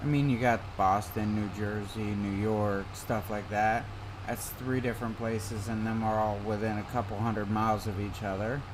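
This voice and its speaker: Speaking in an American accent, a man with a fairly low pitch keeps a monotone, flat intonation at a moderate pace, with audible room echo. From US Midwest. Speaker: gaming live streamer. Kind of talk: casual chat while gaming. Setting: live stream. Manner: relaxed.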